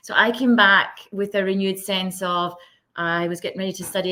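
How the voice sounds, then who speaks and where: A woman speaks with a Scottish accent. Her pace is very fast. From west of Scotland. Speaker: social impact leader. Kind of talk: podcast interview.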